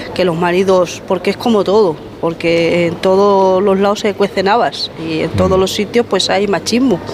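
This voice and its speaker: Noticeable background noise sits under a woman speaking at medium pitch and a moderate pace, with ordinary pitch variation. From Madrid, Spain. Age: 50s. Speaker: grandmother. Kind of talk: casual group interview. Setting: market, on location.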